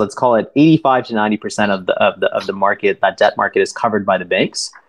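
Against a quiet background, a man with a Canadian accent talks at a very fast pace, with a medium pitch and ordinary pitch variation. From Toronto, Canada. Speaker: private debt investment director. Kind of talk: podcast interview.

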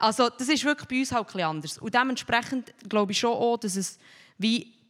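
Her fairly high voice carries lively intonation. The woman talks at a moderate pace. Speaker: shop owner. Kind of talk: panel discussion.

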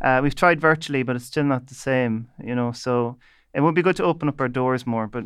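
A man with an Irish midlands accent, medium in pitch, at a fairly quick pace, fairly even intonation, quiet background. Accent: Irish (north midlands). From Ireland, County Leitrim. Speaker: bioengineering researcher. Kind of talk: panel discussion.

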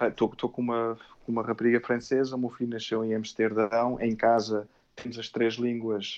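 The speaker is a man with a medium pitch. He talks in a monotone, flat intonation. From Portugal, Amadora (Lisbon area). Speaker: Portuguese emigrant. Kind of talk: casual chat. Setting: audio call.

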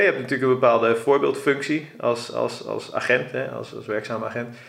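A man speaks at a moderate pace. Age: 30s. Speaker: podcast host. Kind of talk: podcast interview. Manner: hesitant, many fillers.

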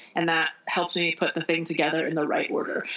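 A woman with an American accent speaks at a fairly quick pace. There is noticeable background noise. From US Midwest, Indiana. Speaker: author. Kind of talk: interview.

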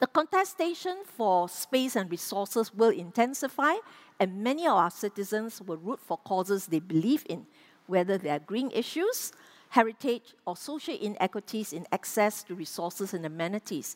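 A woman with a medium pitch talks at a moderate pace with very wide pitch swings. The recording is very clean, dry and close, with a silent background and no echo. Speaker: urban planning professor, former public agency head. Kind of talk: panel discussion; prepared conference presentation.

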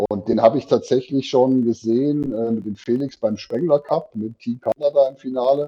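Here a man has an ordinary speaking voice at medium pitch, keeping fairly even intonation and a moderate pace with hardly any pauses. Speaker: podcast host. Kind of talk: casual podcast chat. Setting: remote call from work. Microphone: poor audio quality.

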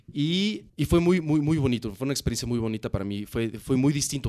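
Lively intonation over a quiet background. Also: man. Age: 30s. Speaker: craft brewery founder. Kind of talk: interview. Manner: halting, frequent repetitions.

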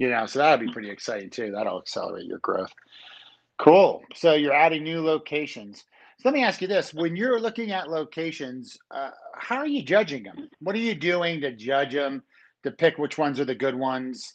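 A moderate pace against a quiet background. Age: 40s. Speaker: restaurant industry podcast host. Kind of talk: casual interview. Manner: animated.

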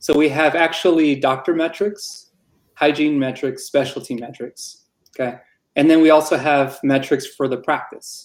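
In a very clean recording with a silent background, a man with an American accent uses a plain, everyday voice at a fairly high pitch, speaking at a moderate pace with fairly even intonation. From Arizona, Tucson. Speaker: dentist. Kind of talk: casual interview.

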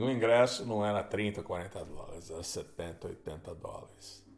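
A man is speaking. His pace is very slow. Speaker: podcast host and guitarist. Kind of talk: solo storytelling monologue. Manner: conversational, with hesitations.

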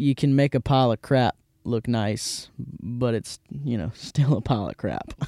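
A man with a Mississippi accent talks at a fairly slow pace, his pitch medium with ordinary variation. The tone is dark and mellow, and the sound is dry and close with no echo. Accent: Mississippi Southern US. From US South, Hattiesburg, Mississippi. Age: 20s. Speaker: podcast host. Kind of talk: casual chat. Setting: studio.

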